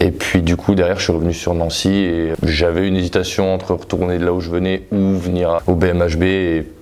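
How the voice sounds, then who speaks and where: Very deep, low male voice, monotone and flat in intonation, fairly quick in pace, over noticeable background noise. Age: 20s. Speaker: handball player. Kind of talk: casual interview.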